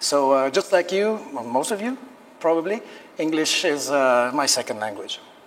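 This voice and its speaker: A man with a Quebec accent, fairly high in pitch, with very wide pitch swings. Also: moderate pace. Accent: French Canadian accent in English. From Quebec, Canada. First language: French. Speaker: teacher and lecturer. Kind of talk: lecture.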